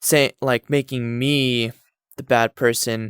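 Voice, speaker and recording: A man at a medium pitch is heard with a dry, close sound and no echo. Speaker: YouTuber. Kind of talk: personal vent monologue. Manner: halting, stuttering.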